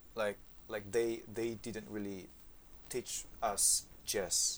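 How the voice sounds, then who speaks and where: A man with an Indonesian accent and a fairly low pitch. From Indonesia, Yogyakarta. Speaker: saxophonist. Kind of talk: interview. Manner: halting.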